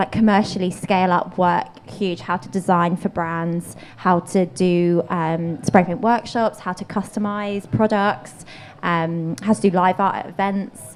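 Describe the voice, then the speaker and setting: A woman with a London accent at a fairly slow pace. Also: medium pitch for a woman, ordinary pitch variation. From England, Bromley (south-east London). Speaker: painter and street artist. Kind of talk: interview conversation.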